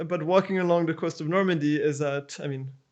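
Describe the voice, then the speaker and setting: A man with a French accent speaks at a fairly quick pace in a high voice, with ordinary pitch variation against a quiet background. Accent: French accent, still present. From France, Paris. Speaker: architect. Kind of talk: interview. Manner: halting, many repeats and fillers.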